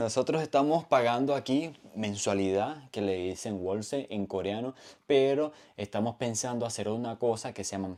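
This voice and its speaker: A man's medium-pitched, dark and mellow voice at a moderate pace, with ordinary pitch variation, in a very clean recording with a silent background. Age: 30s. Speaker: vlogger. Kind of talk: casual vlog explanation. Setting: at home.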